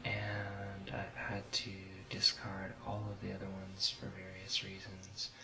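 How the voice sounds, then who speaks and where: Soft-spoken and relaxed in tone, a man talks at a fairly low pitch over noticeable background noise. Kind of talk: ASMR tutorial, soft-spoken instructional talk to camera. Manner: soft-spoken, relaxed.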